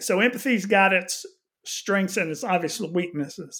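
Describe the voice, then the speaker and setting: A man talks with a Texan accent. The recording is very clean, its background silent. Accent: Texan American. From Houston, Texas. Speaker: missions pastor. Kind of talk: casual interview.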